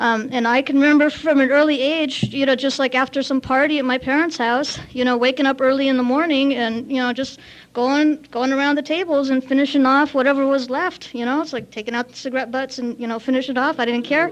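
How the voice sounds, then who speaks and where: Very fast speech with hardly any pauses, in a Californian accent. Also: woman, high pitch for a woman, fairly even intonation. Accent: Californian American. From US West Coast, Santa Monica, Lithuanian community. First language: Lithuanian. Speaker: AA speaker. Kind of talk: recovery talk at AA meeting. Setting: meeting with audience. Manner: casual, filler-heavy.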